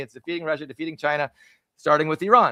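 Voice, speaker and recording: A man is shouting, loud and animated, with a bright, sharp tone. The sound is dry and close, with no echo. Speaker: podcast co-host. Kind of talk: live-streamed political discussion. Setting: live stream with remote co-host. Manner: loud, yelling; animated, halting with restarts.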